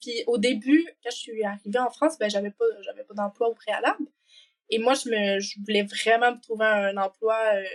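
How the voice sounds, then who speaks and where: A woman's fairly high voice with big swings in loudness, ordinary pitch variation, a moderate pace and a dry, close sound with no echo. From Quebec. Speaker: working holiday traveler. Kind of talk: podcast interview. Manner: casual, many fillers.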